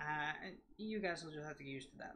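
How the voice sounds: A man speaks fast in a fairly high, nasal voice with a fairly bright tone and ordinary pitch variation, with audible room echo around him.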